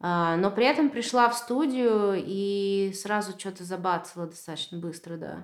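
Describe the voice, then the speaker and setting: This woman talks at a moderate pace. Her pitch sits in the medium range. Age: 30s. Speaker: painter. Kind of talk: casual chat. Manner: animated.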